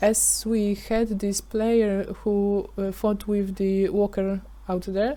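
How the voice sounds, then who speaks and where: A very slow, dark, mellow voice with a non-native accent and monotone, flat intonation. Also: woman, medium pitch for a woman. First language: not English. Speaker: gaming YouTuber. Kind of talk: tutorial. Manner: halting, many fillers.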